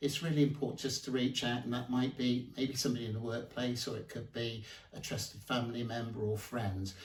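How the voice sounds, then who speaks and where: A somewhat breathy man talks at a fairly quick pace with hardly any pauses. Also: medium pitch for a man. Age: 60s. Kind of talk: interview answer. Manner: hesitant, many fillers.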